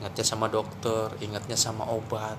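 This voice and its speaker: A man talks in an animated tone. Noticeable noise sits in the background. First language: Javanese (speaking Indonesian). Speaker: Islamic preacher. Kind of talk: religious talk.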